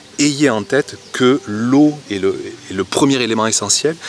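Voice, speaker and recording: Noticeable background noise behind a man's voice with ordinary pitch variation. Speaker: gardening youtuber. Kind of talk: casual vlog talk. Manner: hesitant, many fillers.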